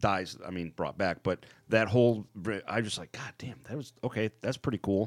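In an ordinary speaking voice, a man talks at a moderate pace and fairly low pitch with ordinary pitch variation and big swings in loudness, the sound dry and close with no echo. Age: 40s. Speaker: podcast co-host. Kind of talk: casual chat. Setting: studio.

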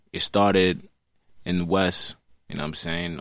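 With a Brooklyn accent, a man speaks at a very deep, low pitch with vocal fry. His pitch variation is ordinary. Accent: New York (Brooklyn). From Brooklyn, New York City. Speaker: drill rapper. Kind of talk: casual interview. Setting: studio, in person.

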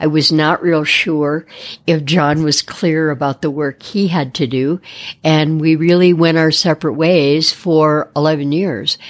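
The speech comes at a fairly slow pace with an American accent. Intonation is fairly even and loudness very even. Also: woman, very deep, low pitch for a woman. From Detroit, US Midwest. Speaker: art therapist. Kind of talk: interview.

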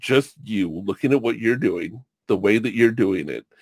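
The man talks at a moderate pace in a dry, close recording with no echo. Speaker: podcast host and Twitch streamer. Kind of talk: casual chat interview. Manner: animated, laughs often, joking.

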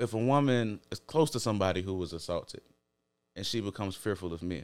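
At a very fast pace, a man talks with fairly low pitch and lively intonation. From Chicago, US. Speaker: podcast guest. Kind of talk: casual chat.

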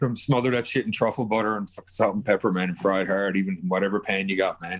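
A man talks at a very fast pace in a Newfoundland accent. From Newfoundland, Canada. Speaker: podcast guest. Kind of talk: casual chat.

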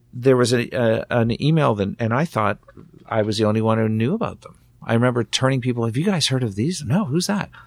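Fairly quick male speech at a medium pitch, with ordinary pitch variation. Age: 50s. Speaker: rock singer and guitarist. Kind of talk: casual interview chat. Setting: studio. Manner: halting.

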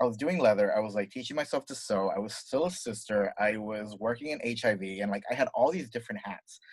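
A man talks in a normal speaking voice at medium pitch, with ordinary pitch variation. His pace is fairly quick, with hardly any pauses. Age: 30s. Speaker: fashion designer. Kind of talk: casual chat.

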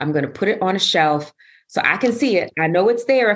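Her tone animated, a woman talks at a fairly quick pace with very wide pitch swings. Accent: New York. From New York City. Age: 50s. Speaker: wellness coach and yoga teacher. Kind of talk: casual interview.

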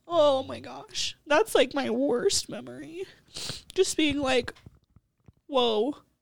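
Speaking at a very slow pace, a woman with an American accent leaves long, frequent pauses and her loudness swings widely. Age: 20s. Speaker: barista. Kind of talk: interview. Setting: studio.

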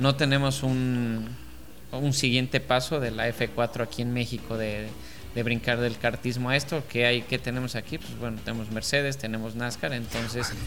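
A man with a Mexican accent, at a moderate pace, in a flat monotone. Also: medium pitch for a man. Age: 40s. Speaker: racing driver. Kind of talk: casual interview. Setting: in person at a race event.

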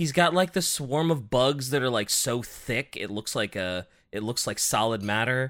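Over a very clean recording with a silent background, a man with an unremarkable speaking voice and medium pitch talks at a moderate pace with lively intonation. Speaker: podcast co-host. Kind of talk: casual banter podcast.

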